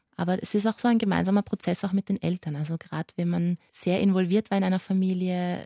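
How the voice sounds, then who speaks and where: A woman's fairly low, dark, mellow voice at a very fast pace, with a dry, close sound and no echo. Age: 20s. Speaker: pediatric palliative nurse. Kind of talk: interview.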